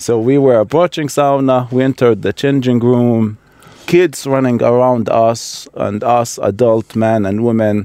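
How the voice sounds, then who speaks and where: Here a man speaks with an Iraqi accent, fairly slowly and with fairly even intonation. His medium-pitched voice has a dark, mellow tone. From Baghdad, Iraq. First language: Arabic. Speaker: immigrant, project participant. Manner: halting, repeats words.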